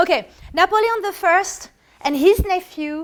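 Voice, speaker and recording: A woman speaks with a French accent. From France. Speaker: artist giving art history talks. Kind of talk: lecture with audience questions. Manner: halting, with many self-corrections.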